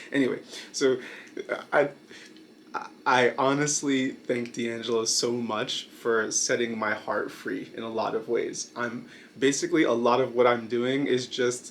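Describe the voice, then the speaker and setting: A man talks in a monotone, flat intonation at a medium pitch and a moderate pace. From Brooklyn, New York, US. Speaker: YouTuber, video essayist. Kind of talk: casual monologue video. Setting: night filming. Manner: hesitant, many fillers.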